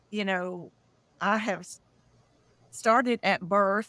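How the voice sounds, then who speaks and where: A woman speaks with a Southern US accent at a medium pitch. The recording is very clean, with a silent background. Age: 60s. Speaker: UFO contactee, disclosure founder. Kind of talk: interview testimony.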